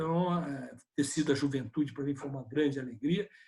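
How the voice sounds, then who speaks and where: A man speaks at a fairly quick pace. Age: 60s. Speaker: politician. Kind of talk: video conference interview. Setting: video call.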